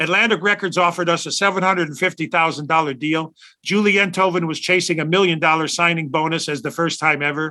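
A man's high, bright, sharp voice with a Chicago accent. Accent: Chicago American. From Chicago South Side. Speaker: rock guitarist. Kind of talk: interview storytelling.

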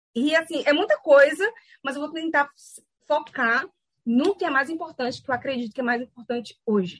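The speaker moves at a moderate pace with lively intonation. Long pauses come often. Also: woman, high pitch for a woman, dry, close sound with no echo. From Brazil, Salvador, Bahia. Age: 30s. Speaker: business school academic. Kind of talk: lecture. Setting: video call.

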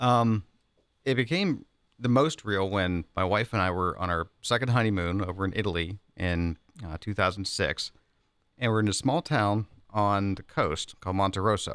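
Speaking in an unremarkable speaking voice, a man talks at a moderate pace and fairly low pitch with ordinary pitch variation, on a very clean recording with a silent background. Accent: American. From Pittsburgh, western Pennsylvania. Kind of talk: casual chat.

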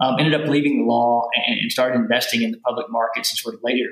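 A man with a Southern US accent races along at a very fast pace over noticeable background noise. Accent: Southern accent, maintained. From US South, rural Kentucky. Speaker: venture capitalist. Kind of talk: podcast interview. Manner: halting, many repeated words and fillers.

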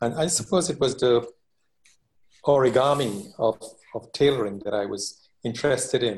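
A man's somewhat breathy voice at a moderate pace, with ordinary pitch variation and long, frequent pauses. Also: medium pitch for a man. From Trinidad. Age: 60s. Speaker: master tailor and tailoring teacher. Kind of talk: interview.

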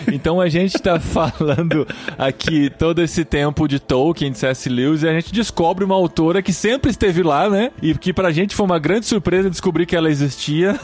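A man at a high pitch with ordinary pitch variation and very even loudness, talking at a fairly quick pace with hardly any pauses over noticeable background noise. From interior of São Paulo state, Brazil. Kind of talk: casual chat.

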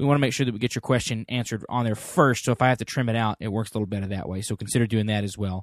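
This man talks at a very fast pace with hardly any pauses, at medium pitch and with fairly even intonation. The sound is dry and close with no echo, against a quiet background. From Texas. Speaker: podcast host. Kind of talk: casual chat.

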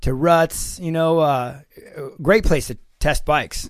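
In a normal speaking voice, a man talks at a moderate pace and a fairly high pitch on a very clean recording with a silent background. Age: 50s. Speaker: former pro motocross racer, test rider. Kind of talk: casual bike review chat.

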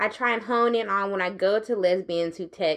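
A woman speaks at a moderate pace and medium pitch with ordinary pitch variation. Hers is a plain, everyday voice, and the background is quiet. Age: 30s. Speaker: podcast host. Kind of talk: interview conversation. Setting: live at a tech summit.

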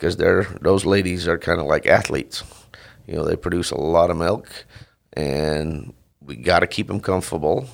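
This man talks at a moderate pace in a very deep, low voice with vocal fry and ordinary pitch variation. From Netherlands. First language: Dutch. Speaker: dairy farmer. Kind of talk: interview. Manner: halting.

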